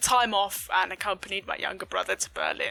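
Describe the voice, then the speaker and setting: Noticeable background noise runs under a woman who talks fairly quickly. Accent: southern English. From Southeast England. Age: 20s. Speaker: gaming streamer. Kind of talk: vlog-style personal story. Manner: frequent fillers (um, uh).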